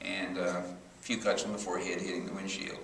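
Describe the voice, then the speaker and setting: A man speaks at a fairly quick pace with audible room echo. Noticeable background noise is present. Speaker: professor. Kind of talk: testimony.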